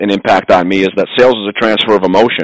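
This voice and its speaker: Here is an ordinary speaking voice with ordinary pitch variation and a dry, close sound with no echo. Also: man. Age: 40s. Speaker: home improvement business owner. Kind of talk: interview.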